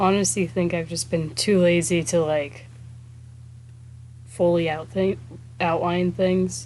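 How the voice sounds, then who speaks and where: Quietly and fairly slowly, a woman with a fairly low pitch speaks with lively intonation and long, frequent pauses. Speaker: artist streaming a speedpaint. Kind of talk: casual livestream chat. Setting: live stream.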